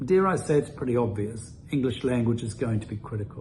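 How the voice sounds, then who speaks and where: At a moderate pace, a man with a New Zealand accent speaks with ordinary pitch variation. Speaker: immigration consultant. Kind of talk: presentation.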